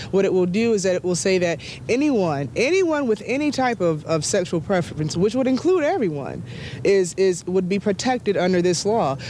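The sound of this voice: A woman speaks at a moderate pace with a fairly low pitch and lively intonation. Background noise is clearly audible.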